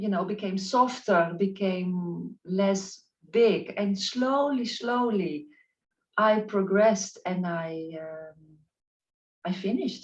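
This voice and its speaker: Somewhat breathy and at a medium pitch, a woman with a non-native accent speaks at a very slow pace with ordinary pitch variation and big swings in loudness. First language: not English. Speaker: spiritual life coach. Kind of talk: interview. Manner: halting.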